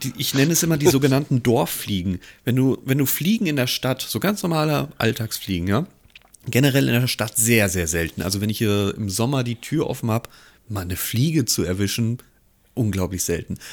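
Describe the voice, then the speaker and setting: Using a plain, everyday voice, a man at a medium pitch talks at a fairly quick pace with lively intonation. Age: 30s. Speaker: podcast co-host. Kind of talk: casual chat.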